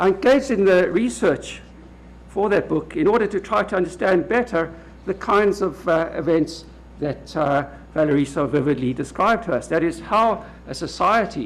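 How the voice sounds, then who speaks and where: Pitched high with lively intonation, a man speaks at a moderate pace in a South African accent. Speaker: law professor. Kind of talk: lecture. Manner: halting, with frequent uh.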